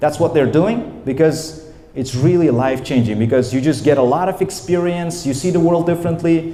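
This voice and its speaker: A man's animated, fairly high voice with ordinary pitch variation, moderate pace and hardly any pauses, amid noticeable background noise and audible room echo. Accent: Uzbek. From Uzbekistan, Namangan. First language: Uzbek. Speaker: English teacher. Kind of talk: lecture. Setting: training session with audience.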